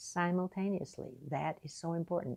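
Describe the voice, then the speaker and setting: A woman speaks at a fairly slow pace in a fairly low pitch. Her tone is dark and mellow over a quiet background. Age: 80s+. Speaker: retired piano teacher. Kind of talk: casual talk to camera.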